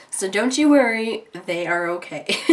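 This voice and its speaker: A woman's voice swings very widely in pitch over noticeable background noise. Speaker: beauty vlogger. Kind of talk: makeup tutorial chat. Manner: casual, rambling.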